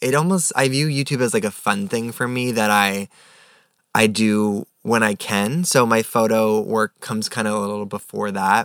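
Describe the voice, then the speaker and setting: In an ordinary speaking voice, a man talks at a moderate pace with an American accent. His pitch is medium, with ordinary variation. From New York. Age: 20s. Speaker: photographer. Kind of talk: casual chat.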